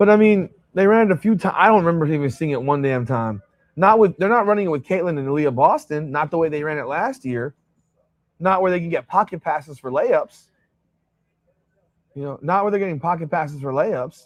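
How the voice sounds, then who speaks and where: Loud, fairly quick speech with lively intonation against a quiet background. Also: man, high pitch for a man. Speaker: sports livestream host. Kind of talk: casual livestream commentary. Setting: hotel room livestream. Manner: animated.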